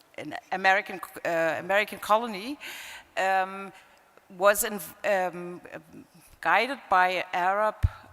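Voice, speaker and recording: Music plays behind a woman with a German accent who speaks fairly slowly at a medium pitch, with fairly even intonation and long, frequent pauses. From East Germany. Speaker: panelist, former immigrants ombudswoman. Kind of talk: panel discussion. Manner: halting.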